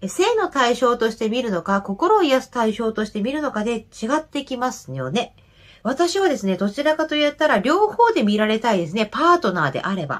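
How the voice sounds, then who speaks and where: A woman with a high voice talks at a fairly quick pace, her pitch swinging very widely over a quiet background. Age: 30s. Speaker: nurse and men's health YouTuber; nurse health channel host. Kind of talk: reading and commenting on viewer comments. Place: home room. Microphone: webcam.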